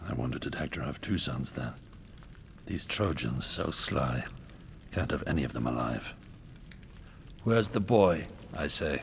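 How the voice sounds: A man in a put-on character voice speaks at a fairly slow pace with long, frequent pauses, his extremely low pitch carrying vocal fry and lively intonation.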